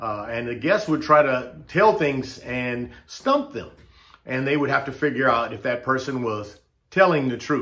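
Speaking at a fairly slow pace, a man with an American accent shows ordinary pitch variation. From United States. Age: 60s. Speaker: political commentator vlogger. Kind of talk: opinion monologue. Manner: impassioned. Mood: earnest, frustrated. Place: home room. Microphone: webcam.

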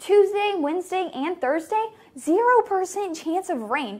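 A woman speaks in an upbeat tone, her pitch making very wide swings. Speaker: meteorologist. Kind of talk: weather forecast. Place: studio. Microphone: lapel.

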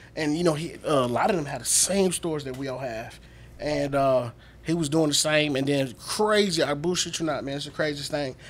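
In an American accent, a man speaks at a fairly high pitch. He talks at a fairly quick pace with ordinary pitch variation. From US South. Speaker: comedian and military veteran. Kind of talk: casual chat. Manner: animated. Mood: animated, amused storytelling. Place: studio. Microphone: studio mic.

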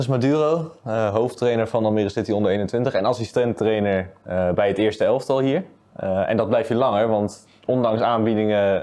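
Moving at a moderate pace, a man speaks in a dark, mellow tone. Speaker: club media interviewer. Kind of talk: interview. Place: studio.

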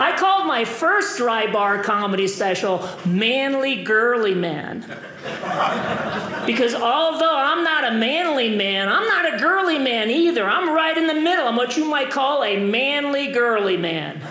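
Speaking at a fairly slow pace, a man uses an extremely high pitch with very wide swings, with audible room echo and light background noise. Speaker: stand-up comedian. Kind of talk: stand-up comedy routine. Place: stage. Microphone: handheld.

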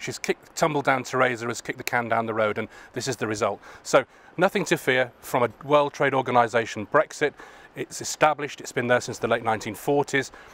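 A man at a fairly quick pace with ordinary pitch variation, in a dry sound with no echo. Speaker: political party official interviewing colleagues. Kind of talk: political interview. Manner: halting, many fillers. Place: street. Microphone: handheld.

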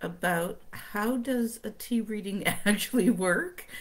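Fairly slow, ordinary pitch variation, a woman's voice. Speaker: tarot reader. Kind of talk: casual livestream talk. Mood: cheerful, relaxed. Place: home room. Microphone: webcam.

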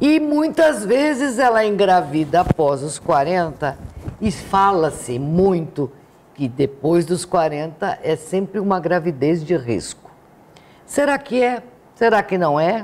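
Speaking at a very slow pace, a woman uses a fairly low pitch with very wide pitch swings. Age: 70s. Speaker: TV health show host. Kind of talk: TV interview. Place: studio.

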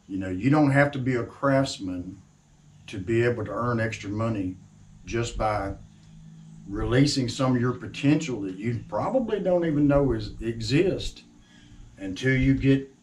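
A man talks at a moderate pace with ordinary pitch variation and long, frequent pauses. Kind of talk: casual talk to camera. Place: workshop. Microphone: camera far.

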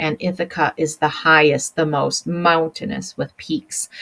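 In a normal speaking voice, a woman talks at a fairly slow pace with fairly even intonation. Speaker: teacher. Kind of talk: lecture. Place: home room. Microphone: webcam.

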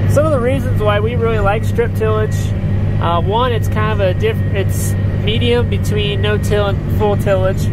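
Loud background noise sits behind a man talking at a moderate pace. The sound is dry with no echo. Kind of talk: casual vlog chat. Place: farm machine. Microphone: phone near.

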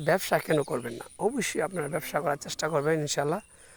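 A man with a plain, everyday voice speaks at a fairly high pitch, the sound dry and close with no echo. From Bangladesh, Brahmanbaria (Kasba). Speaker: small business owner, vlogger. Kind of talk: casual vlog monologue.

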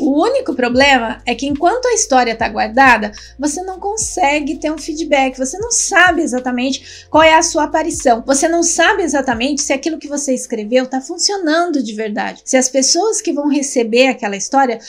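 Faint music plays behind a woman with a high voice. She talks at a fairly quick pace with hardly any pauses. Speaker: writing teacher. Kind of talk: lecture. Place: home room.

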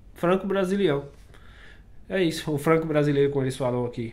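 Fairly high pitch from a man, varied in an ordinary way. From Brazil. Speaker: vlogger. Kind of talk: casual vlog talk to camera. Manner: casual, conversational. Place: home room. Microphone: webcam.

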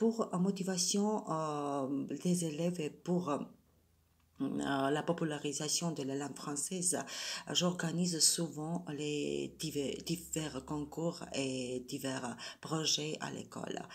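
A woman with a Georgian accent, very deep and low in pitch, at a very slow pace. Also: ordinary pitch variation. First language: Georgian (speaking French). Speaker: French teacher. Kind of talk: prepared self-presentation. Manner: hesitant, many fillers. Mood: calm, earnest. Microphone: phone near.

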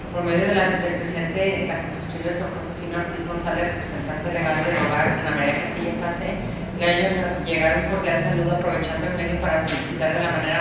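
Amid loud background noise and audible room echo, a woman speaks at a fairly quick pace. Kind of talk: reading a letter aloud in a meeting. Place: meeting room.

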